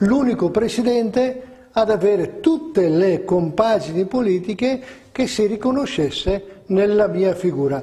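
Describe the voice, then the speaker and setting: Lively intonation runs through this man's high-pitched speech. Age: 60s. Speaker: politician, regional election candidate. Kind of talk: interview.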